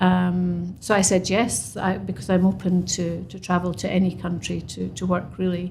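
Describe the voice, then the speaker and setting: In a room with audible echo, a woman speaks at a fairly slow pace in a fairly low, somewhat breathy voice with fairly even intonation. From Scotland. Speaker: construction professional. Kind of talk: podcast interview. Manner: halting.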